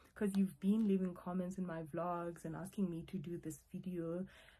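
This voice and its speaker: Dark, mellow, and somewhat breathy, a woman's fairly low voice carries fairly even intonation. She speaks at a moderate pace. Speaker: YouTuber, online English tutor. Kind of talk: casual vlog talk to camera. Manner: stuttering, halting.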